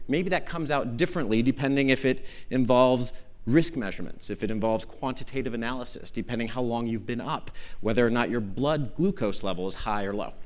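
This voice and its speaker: A man with an American accent speaks at a fairly quick pace and a medium pitch, using ordinary pitch variation. Audible room echo surrounds his voice. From Arizona. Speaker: law professor. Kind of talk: conference lecture. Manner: fast.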